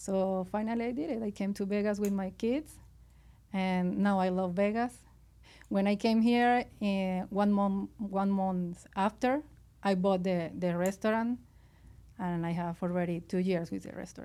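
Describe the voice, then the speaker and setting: At a fairly slow pace, a woman with a Venezuelan accent speaks in a medium pitch with a dark, mellow tone and fairly even intonation. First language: Spanish. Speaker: restaurant owner. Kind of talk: interview. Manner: halting.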